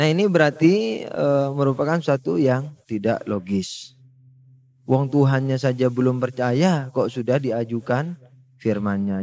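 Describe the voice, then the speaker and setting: A man with a slight Madurese accent speaks with ordinary pitch variation. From Madura, Indonesia. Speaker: Islamic religious teacher. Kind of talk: religious lecture. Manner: conversational, with filler hesitations.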